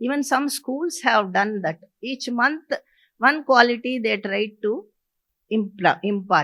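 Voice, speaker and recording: A high-pitched woman's voice at a fairly slow pace, with lively intonation. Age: 80s+. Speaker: educator. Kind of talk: personal reminiscence. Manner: halting.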